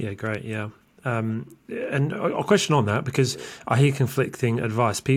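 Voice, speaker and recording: With a British accent, a man speaks at a fairly slow pace and medium pitch. His voice is somewhat breathy, with ordinary pitch variation. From UK. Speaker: podcast host. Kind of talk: interview.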